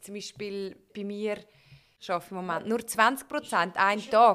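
In a Swiss accent, a woman talks at a fairly slow pace with a fairly high voice. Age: young. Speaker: podcast host. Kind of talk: life-story interview. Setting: living room. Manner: cheerful, laughing.

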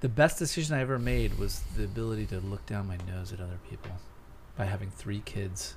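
A man with an American accent speaks somewhat breathily at a fairly quick pace, his very deep, low voice making very wide pitch swings. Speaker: podcast co-host. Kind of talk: casual comedic banter.

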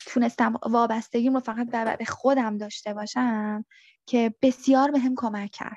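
Fairly high in pitch, a woman speaks at a moderate pace with monotone, flat intonation and a dry, close sound with no echo. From Iran. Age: 30s. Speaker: returned asylum seeker. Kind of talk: interview testimony.

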